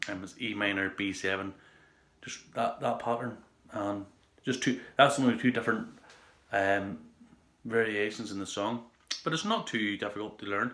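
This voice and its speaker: A man's bright, sharp voice, fairly low in pitch, with an Irish accent and fairly even intonation. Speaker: guitar teacher. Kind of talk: casual guitar tutorial talk to camera.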